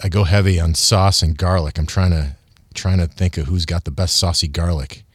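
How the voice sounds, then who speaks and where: A man with an American accent speaks at a very deep, low pitch and a fairly quick pace. His voice is somewhat breathy, with fairly even intonation. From Michigan. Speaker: TV news reporter and food feature host. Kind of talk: casual interview chat.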